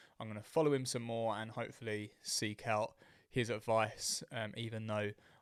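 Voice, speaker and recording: The speaker is a man with a British accent and fairly low pitch. His recording is very clean, with a silent background. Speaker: fitness coach and podcast host. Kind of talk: solo podcast monologue. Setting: talking to a camera. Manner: fast.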